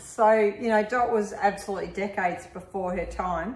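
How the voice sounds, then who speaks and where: Over noticeable background noise, a woman with an Australian accent talks at a moderate pace in a fairly high voice. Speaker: health business owner. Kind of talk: interview host.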